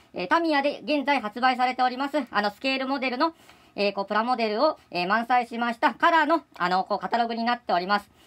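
In a high voice, a woman talks at a very fast pace. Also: lively intonation. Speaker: hobby shop staff presenting products. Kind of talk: product presentation. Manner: halting, many fillers; polite, formal.

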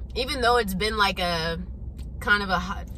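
The woman's voice is dry with no echo, set against noticeable background noise. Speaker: vlogger. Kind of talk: casual vlog chat. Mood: good mood, excited. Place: car. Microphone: phone near.

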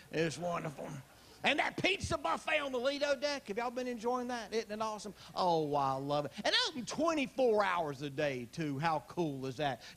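A man speaks in a Southern US accent, his pitch high and swinging very widely. Noticeable background noise sits behind him. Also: moderate pace. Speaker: stand-up comedian. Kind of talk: live stand-up comedy set. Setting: live audience on a cruise ship.

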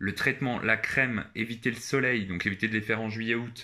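The recording is very clean with a silent background. A man speaks at medium pitch and a moderate pace, with a bright, sharp tone and monotone, flat intonation. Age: 20s. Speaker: YouTuber. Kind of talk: casual vlog monologue. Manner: hesitant, many filler 'euh'.

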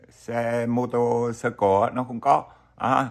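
This is a man talking. He goes at a very slow pace. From Vietnam. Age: old. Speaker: YouTuber, retiree vlogger. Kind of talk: casual vlog monologue. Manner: halting, many fillers. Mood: friendly, smiling. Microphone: webcam.

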